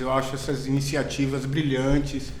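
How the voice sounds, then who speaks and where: Amid noticeable background noise and audible room echo, a man with a Bahian accent speaks at a fairly high pitch. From Brazil, Bahia (Salvador). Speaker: biology professor. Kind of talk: casual academic chat.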